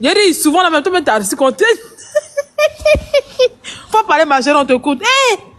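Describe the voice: A high-pitched woman's voice with a fairly bright tone, big pitch swings and a moderate pace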